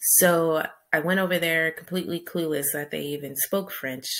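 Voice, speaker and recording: Over a quiet background, a woman with an American accent talks at a moderate pace. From US big city. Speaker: vlogger and travel guide author; vlogger, travel guide author. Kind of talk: casual monologue to camera. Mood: upbeat, smiling. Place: home room. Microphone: webcam.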